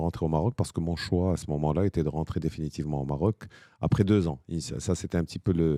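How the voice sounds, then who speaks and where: Very deep and low in pitch, a man speaks at a fairly quick pace with fairly even intonation and a dark, mellow tone. The sound is dry and close with no echo, on a very clean recording with a silent background. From Morocco, Rabat. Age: 60s. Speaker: business founder. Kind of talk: interview.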